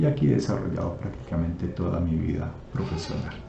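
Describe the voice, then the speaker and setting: A man's very deep, low voice with very wide pitch swings, amid noticeable background noise and audible room echo. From Colombia, Nariño (Pasto) and Putumayo. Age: 60s. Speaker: entrepreneur. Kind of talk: personal presentation video. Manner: halting, with fillers.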